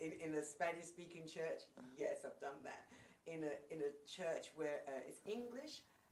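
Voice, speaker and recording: A woman talks at a fairly slow pace, and audible room echo follows her words. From England. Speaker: worship leader and singer. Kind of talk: casual interview.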